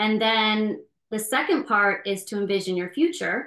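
With an ordinary speaking voice, a woman talks at a moderate pace and fairly high pitch with ordinary pitch variation over a quiet background. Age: 40s. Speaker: relationship coach and podcast co-host. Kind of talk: casual chat.

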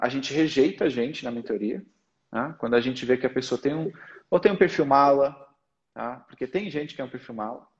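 This is an unremarkable speaking voice from a man, medium in pitch, with ordinary pitch variation and a fairly quick pace. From Portugal. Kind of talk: casual interview and mentoring chat.

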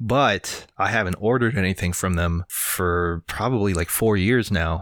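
A man with a bright, sharp tone speaks at a moderate pace with ordinary pitch variation. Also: very clean recording, silent background. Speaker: podcast co-host. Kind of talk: casual podcast chat.

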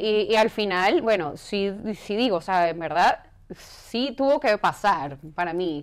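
A woman with an unremarkable speaking voice and medium pitch, at a fairly slow pace, in a very clean recording with a silent background. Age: 40s. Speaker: fitness professional. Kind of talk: interview.

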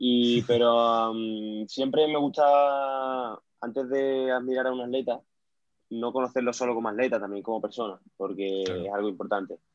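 A man's normal speaking voice, medium in pitch, with fairly even intonation at a moderate pace. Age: 20s. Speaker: powerlifter. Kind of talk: interview.

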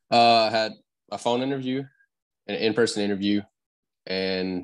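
A man with a Louisiana accent at a fairly quick pace, fairly even in intonation, over a quiet background. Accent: Southern US, Louisiana. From Louisiana, around Lafayette. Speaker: painting contractor. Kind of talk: casual interview.

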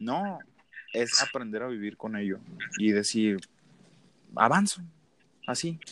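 With a northern Mexican accent, a man speaks in a bright, sharp tone at a fairly slow pace, leaving long, frequent pauses. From northern Mexico, Sonora (Ciudad Obregón). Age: 20s. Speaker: motivational speaker. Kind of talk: casual interview.

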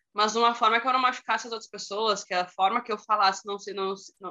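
Here a woman with an ordinary speaking voice talks at a fairly quick pace, fairly high in pitch, with ordinary pitch variation. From Rio Grande do Sul, Brazil. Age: 30s. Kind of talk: casual chat. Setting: video call.

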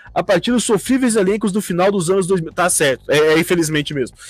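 A man speaks in a high pitch with an animated tone. His intonation is lively. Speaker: fan podcast host. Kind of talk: casual chat.

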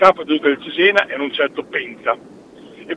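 A man's fairly high voice with ordinary pitch variation, over noticeable background noise. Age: 60s. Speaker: former football ultras member. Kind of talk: phone interview, storytelling.

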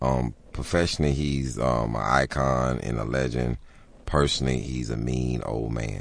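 A man's very deep, low voice at a moderate pace. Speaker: stand-up comedian. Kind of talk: casual radio interview. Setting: radio studio.

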